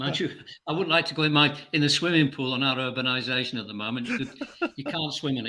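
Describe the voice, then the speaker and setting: Talking at a very fast pace, a man with a fairly high pitch and a bright, sharp tone keeps his intonation fairly even. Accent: Yorkshire. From northern England, between Bradford and Leeds, born in Scotland. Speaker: guest. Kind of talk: casual chat.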